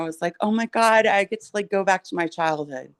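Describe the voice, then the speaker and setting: A woman with an American accent talks at a moderate pace, her pitch varying in an ordinary way. The sound is dry and close with no echo, over a quiet background. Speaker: guest. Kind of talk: casual chat.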